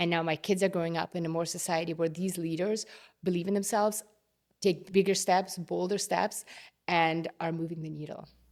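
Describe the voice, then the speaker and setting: On a very clean recording with a silent background, a woman with a non-native accent speaks at a fairly low pitch and a fairly quick pace. Her intonation is monotone and flat, broken by long, frequent pauses. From immigrant to Canada, grew up partly abroad. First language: not English. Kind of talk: interview conversation.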